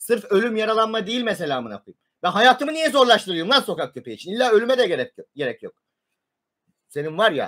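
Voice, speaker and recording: A man shouting in a high voice, very fast and bright and sharp, with lively intonation and big swings in loudness over a quiet background. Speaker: live streamer. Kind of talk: livestream rant. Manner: agitated, shouting; stammering. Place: home room. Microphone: webcam.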